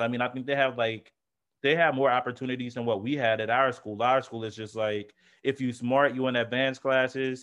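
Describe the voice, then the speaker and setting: Monotone and flat in intonation, a man talks at a fairly quick pace with a medium pitch. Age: 20s. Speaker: podcast co-host. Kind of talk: casual chat.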